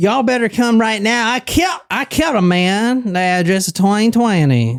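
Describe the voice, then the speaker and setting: Putting on a character voice, a man drawls in a high pitch at a moderate pace. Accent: Houston. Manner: distinct Southern way of talking.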